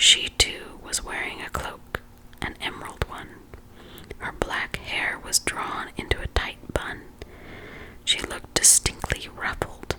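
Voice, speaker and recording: Whispering at a fairly slow pace with long, frequent pauses and big swings in loudness, a woman comes through over noticeable background noise. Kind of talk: whispered ASMR audiobook reading. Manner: whispered, soft, calming.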